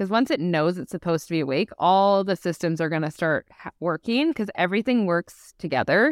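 With a Canadian accent and lively intonation, a woman of fairly low pitch talks with hardly any pauses in an ordinary speaking voice, captured in a very clean recording with a silent background and a dry, close sound with no echo. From Canada, Vancouver BC. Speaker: sleep expert and behaviour analyst. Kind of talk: podcast interview.

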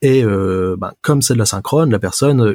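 A man speaks with a dark, mellow tone and a somewhat breathy quality, using ordinary pitch variation, on a very clean recording with a silent background. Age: 20s. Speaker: software developer. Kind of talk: casual chat. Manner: halting.

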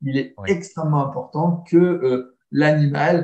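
Somewhat breathy and dark, mellow in tone, the voice moves at a very slow pace with ordinary pitch variation. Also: man. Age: 30s. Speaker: dog trainer. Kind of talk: casual chat.

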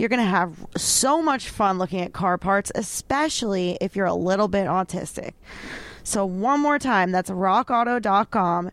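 This woman has a normal speaking voice at a medium pitch and talks at a fairly slow pace. Her intonation is lively while her loudness stays very even. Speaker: podcast co-host. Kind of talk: casual chat.

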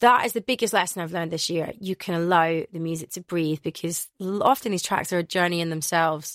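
A woman with a Glaswegian accent speaks very fast with hardly any pauses, her fairly low voice dry and close with no echo. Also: ordinary pitch variation, very clean recording, silent background. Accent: Glaswegian Scottish. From Scotland, Glasgow. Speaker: radio and club DJ. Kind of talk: interview. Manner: animated.

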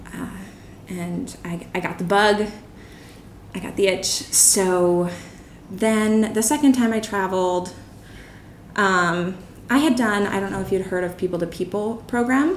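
A woman with a Philadelphia accent at a medium pitch, fairly slow pace and ordinary pitch variation, with long, frequent pauses and audible room echo. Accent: Philadelphia-area American. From Bucks County, Pennsylvania, near Philadelphia. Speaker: marketing strategist. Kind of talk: interview. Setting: in an apartment.

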